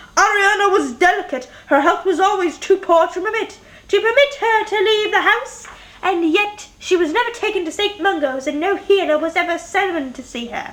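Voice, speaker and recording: Putting on a squeaky character voice, a woman speaks at an extremely high pitch and a moderate pace. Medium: read story. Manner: earnest, indignant.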